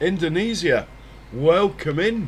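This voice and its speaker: Lively intonation marks this man's high-pitched voice. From Britain. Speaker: gaming streamer. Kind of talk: casual live-stream chat.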